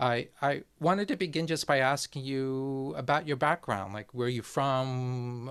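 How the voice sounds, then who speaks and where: A man with a plain, everyday voice speaks at a medium pitch and a fairly slow pace. The recording is very clean, with a silent background. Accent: American. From New Jersey, USA (born there). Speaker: YouTube host, foreign affairs commentator. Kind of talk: interview.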